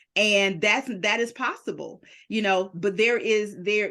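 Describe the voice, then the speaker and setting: Against a quiet background, a woman talks in an animated tone at a fairly high pitch. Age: 50s. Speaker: podcast host and publisher. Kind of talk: interview.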